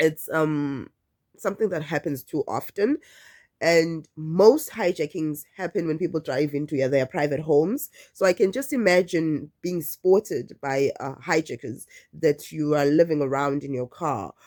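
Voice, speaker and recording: A woman with a very deep, low pitch talks at a moderate pace. The very clean recording sounds dry and close, with a silent background and no echo. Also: ordinary pitch variation. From South Africa. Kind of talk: casual talk to camera.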